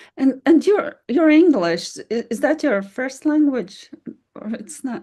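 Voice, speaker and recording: A woman with a non-native accent, high-pitched, at a very slow pace, with very wide pitch swings and big swings in loudness. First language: not English. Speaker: podcast host. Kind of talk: interview.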